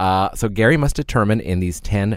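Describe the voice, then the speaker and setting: A normal speaking voice from a man, fairly low in pitch, with lively intonation at a moderate pace. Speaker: podcast co-host. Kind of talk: casual chat. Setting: studio.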